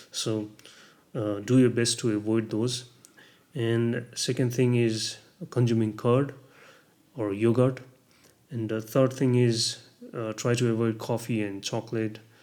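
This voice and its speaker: Speaking at a fairly slow pace, a man with a medium pitch and a dark, mellow tone keeps a monotone, flat intonation and takes long, frequent pauses. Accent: Nepali. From Nepal. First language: Nepali. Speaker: vlogger sharing health experience. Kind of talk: casual vlog talk. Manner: halting, many fillers.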